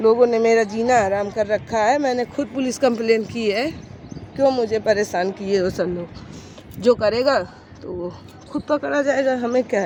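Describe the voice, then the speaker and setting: There is noticeable background noise. A woman speaks at a fairly high pitch with ordinary pitch variation. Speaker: vlogger. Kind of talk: vlog monologue. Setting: outdoors in sunlight.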